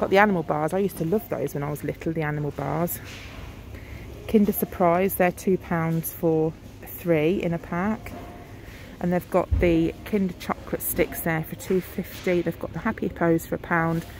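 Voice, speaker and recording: With light background noise and a dry sound with no echo, a woman speaks at a moderate pace in a fairly low pitch with fairly even intonation. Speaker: shopper vlogger. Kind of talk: casual vlog chat. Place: shop. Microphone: phone near.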